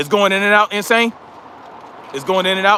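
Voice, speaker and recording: A man speaks in a raised, projected voice. The sound is dry and close with no echo. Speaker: livestream host, military veteran. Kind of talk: casual livestream chat. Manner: rambling.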